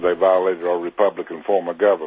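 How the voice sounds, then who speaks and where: A man with an Arkansas accent speaks at a very deep, low pitch. Noticeable background noise runs underneath. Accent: Southern US (Arkansas). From Arkansas, US South. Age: 60s. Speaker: militia member facing prison. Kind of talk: interview. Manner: hesitant, many filler 'uh's.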